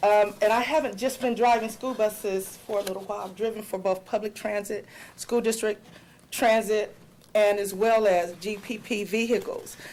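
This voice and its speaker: A woman's fairly high voice, fairly even in intonation, at a moderate pace. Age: 40s. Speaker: school bus driver. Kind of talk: public comment at board meeting. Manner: loud when nervous.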